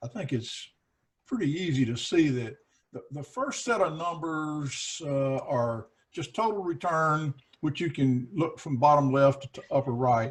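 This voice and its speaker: A man talks in a normal speaking voice at a fairly slow pace. His pitch is fairly high. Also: ordinary pitch variation. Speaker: investment advisor. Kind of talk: casual chat.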